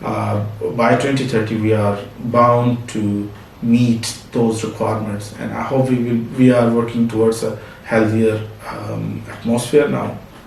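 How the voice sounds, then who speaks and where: A man with an American accent talks at a fairly slow pace, medium pitch, in a monotone, flat intonation. Audible room echo and noticeable background noise fill the recording. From Pakistan. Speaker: business owner. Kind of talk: interview. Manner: halting, with many fillers.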